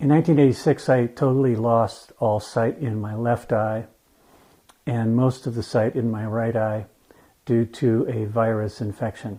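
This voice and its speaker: A man speaks at a moderate pace and medium pitch in an unremarkable speaking voice. His intonation stays fairly even. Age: 60s. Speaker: legally blind resident. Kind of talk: interview testimony.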